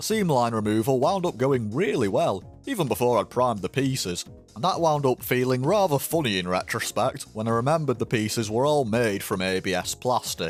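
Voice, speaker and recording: Music plays in the background as a man speaks with lively intonation and hardly any pauses. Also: medium pitch for a man, fairly quick pace. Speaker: model kit hobbyist. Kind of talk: build review voiceover.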